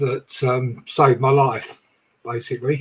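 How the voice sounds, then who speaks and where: In a raspy, put-on character voice, a man speaks at a medium pitch and moderate pace with monotone, flat intonation. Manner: thankful, sincere.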